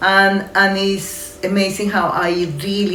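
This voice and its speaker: A woman speaks with a Spanish accent. Audible room echo and noticeable background noise fill the recording. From Colombia. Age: 60s. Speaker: community organisation manager. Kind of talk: interview testimony. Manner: halting, with many fillers.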